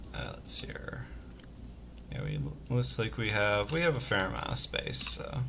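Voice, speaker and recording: A man with a very deep, low voice and an American accent swings very widely in pitch at a moderate pace. He leaves long, frequent pauses over noticeable background noise. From US South. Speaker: game designer streamer. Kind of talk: let's play livestream commentary. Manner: casual, hesitant with fillers.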